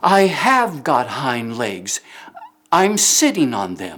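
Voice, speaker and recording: Very slow delivery in a put-on character voice, pitched in the middle range. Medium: read story.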